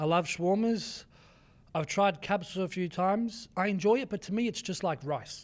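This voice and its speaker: In a very clean recording with a silent background, a man with a high pitch and an Australian accent talks at a moderate pace with ordinary pitch variation. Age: 20s. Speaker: fitness coach and content creator. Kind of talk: podcast interview answer.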